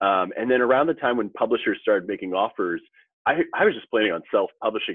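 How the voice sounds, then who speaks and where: A man with an American accent speaks at a very fast pace, the sound dry with no echo and the background quiet. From US Midwest, St. Louis; US Midwest. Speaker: financial advisor and author; podcast guest. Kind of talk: casual interview. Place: office.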